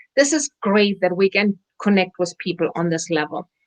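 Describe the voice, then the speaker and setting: The sound is dry and close with no echo as a woman speaks with a German accent. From Germany. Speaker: wellness center owner. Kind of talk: interview chat.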